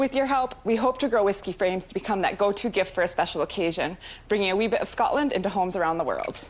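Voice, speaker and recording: Speaking at a very fast pace with very even loudness, a woman of medium pitch uses ordinary pitch variation in an American accent. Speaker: entrepreneur pitching to investors. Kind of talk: rehearsed business pitch; answering investor questions.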